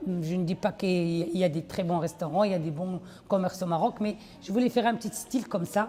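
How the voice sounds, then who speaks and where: Moderately paced speech from a woman, with ordinary pitch variation. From Belgium (Liège), Moroccan family. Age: 60s. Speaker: restaurant owner. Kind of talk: interview testimony. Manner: halting.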